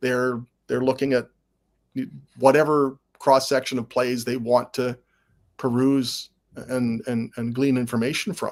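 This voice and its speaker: Speaking at a medium pitch with a Canadian accent, a man talks fairly slowly in a flat monotone, with long, frequent pauses. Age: 60s. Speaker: sportswriter and football historian. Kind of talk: casual chat.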